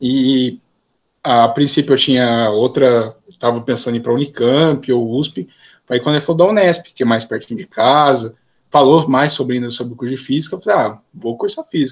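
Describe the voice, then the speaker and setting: A man speaks at medium pitch and a moderate pace. He has an unremarkable speaking voice with ordinary pitch variation. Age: 20s. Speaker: physics student. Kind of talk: casual interview.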